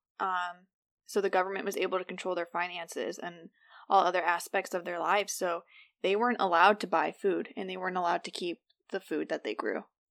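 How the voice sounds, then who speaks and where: In a very clean recording with a silent background and a dry, close sound with no echo, a woman talks very fast at a medium pitch with fairly even intonation. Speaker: podcast co-host. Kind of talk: casual chat.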